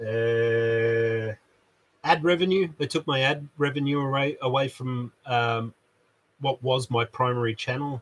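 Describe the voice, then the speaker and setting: The sound is dry and close, with no echo. A man speaks at medium pitch and a fairly slow pace, with ordinary pitch variation. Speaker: YouTuber and maker, hi-fi salesman. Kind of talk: casual live stream chat. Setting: live stream in a shed. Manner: loud; halting, many fillers.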